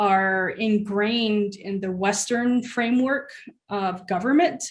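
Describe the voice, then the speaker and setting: A woman with a Southwestern US accent at a fairly slow pace, with ordinary pitch variation. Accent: Navajo-accented English. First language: Navajo. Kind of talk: panel discussion. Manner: halting.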